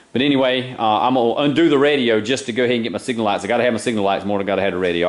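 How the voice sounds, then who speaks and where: A man with a strong Southern US accent talks at a very fast pace in a fairly low voice. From eastern North Carolina, US South. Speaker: car hobbyist video maker. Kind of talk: DIY car repair vlog. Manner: casual, with many fillers.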